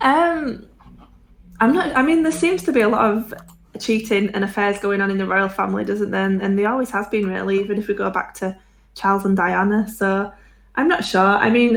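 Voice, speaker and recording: A woman with a Yorkshire accent talks at a fairly quick pace, her medium pitch moving with ordinary variation. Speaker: podcast co-host. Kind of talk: casual chat. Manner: fast.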